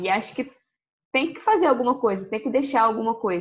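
High-pitched and with lively intonation, a woman speaks. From Rio de Janeiro, Brazil. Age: 20s. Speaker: social media content creator. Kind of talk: casual interview chat.

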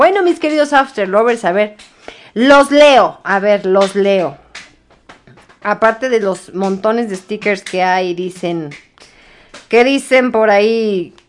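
Her tone animated and her intonation lively, a woman of medium pitch speaks at a fairly slow pace. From Mexico City. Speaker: radio show host. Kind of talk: casual radio chat.

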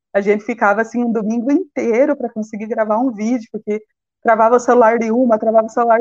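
At a fairly quick pace, a woman speaks in an ordinary speaking voice with fairly high pitch and fairly even intonation. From Brazil, Paraná (Ponta Grossa). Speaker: sociology teacher and master's student. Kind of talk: live-stream interview.

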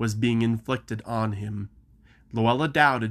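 The reading aloud is plain, and the intonation stays fairly even.

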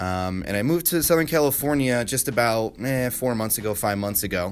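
Over music in the background, a man with an American accent talks at a very fast pace with lively intonation. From upstate New York (Rochester). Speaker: podcaster, marketer. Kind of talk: unscripted solo monologue. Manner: casual, filler-heavy.

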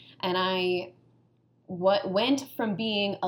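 A woman speaks with an American accent in a plain, everyday voice. Her pitch is medium, with ordinary pitch variation. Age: 30s. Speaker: NGO knowledge management advisor. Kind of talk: casual chat.

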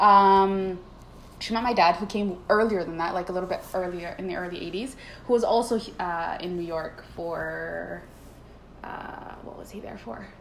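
A woman with a Canadian accent talks at medium pitch and a moderate pace, with ordinary pitch variation. Her loudness swings widely over noticeable background noise. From Canada, Toronto and Vancouver. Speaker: guest. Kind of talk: casual chat.

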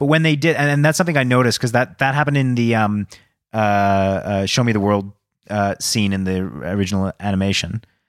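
An unremarkable speaking voice, fairly quick, with very even loudness and lively intonation. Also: man, fairly low pitch for a man. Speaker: podcast co-host, movie reviewer. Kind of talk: casual chat, movie review.

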